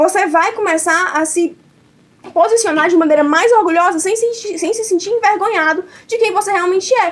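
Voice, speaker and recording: An extremely high-pitched woman's voice in a northeastern Brazilian accent, animated in tone, with ordinary pitch variation. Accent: noticeable northeastern Brazilian. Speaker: debate competitor. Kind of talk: competitive debate speech. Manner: fast.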